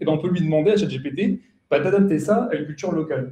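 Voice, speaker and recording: A man's high-pitched yet dark, mellow voice at a very fast pace. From France. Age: 20s. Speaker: software developer and consultant. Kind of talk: conference talk. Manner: casual, many fillers.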